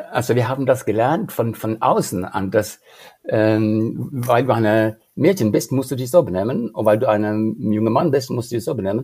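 On a very clean recording with a silent background, a man speaks at a fairly slow pace in a dark, mellow tone at a medium pitch. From Norway. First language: Norwegian (speaking German). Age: 70s. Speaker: leadership career coach. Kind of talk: interview. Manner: halting.

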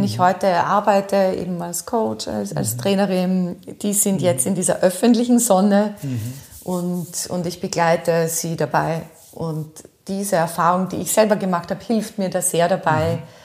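Over noticeable background noise, the speaker keeps a moderate pace with lively intonation. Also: woman. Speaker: voice and rhetoric trainer, former radio host. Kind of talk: interview. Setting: in her office.

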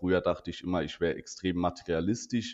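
Speaking in a Saarland accent, a man with a very deep, low pitch keeps a monotone, flat intonation against a quiet background. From Saarland, Germany. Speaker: insurance agent and podcast co-host. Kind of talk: casual chat.

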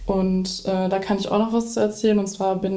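A woman's medium-pitched voice in a monotone, flat intonation, with audible room echo. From Dortmund, Ruhr area, Germany. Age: 20s. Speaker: violinist and music student. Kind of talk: interview.

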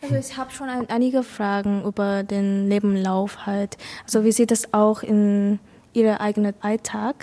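Speaking with a Vietnamese accent, a woman has a medium pitch, a dark, mellow tone, fairly even intonation and a moderate pace. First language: Vietnamese (speaking German). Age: 20s. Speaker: vocational school student. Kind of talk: casual chat. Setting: café in front of a cinema. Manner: halting.

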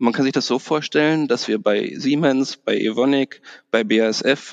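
The man's voice sits at a medium pitch, recorded with a dry, close sound and no echo. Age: 40s. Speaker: bank manager. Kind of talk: interview. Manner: hesitant, many fillers.

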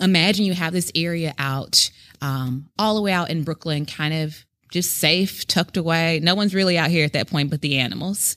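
An unremarkable speaking voice with an American accent moves at a moderate pace with ordinary pitch variation, in a very clean recording with a silent background. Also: woman. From US South, Memphis, Tennessee. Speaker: educator at a heritage center. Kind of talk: historical storytelling; casual conversation. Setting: on location at a historic site.

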